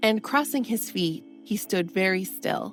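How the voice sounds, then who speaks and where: A woman speaks at a fairly slow pace in a calm, soothing tone. Music plays in the background. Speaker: audiobook narrator. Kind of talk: bedtime story reading.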